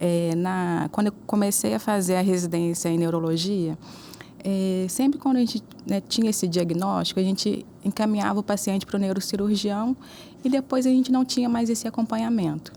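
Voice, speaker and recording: A woman talks at a moderate pace with ordinary pitch variation. Her loudness stays very even. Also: medium pitch for a woman. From Juiz de Fora, Minas Gerais, Brazil. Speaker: neuro-oncologist. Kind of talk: interview.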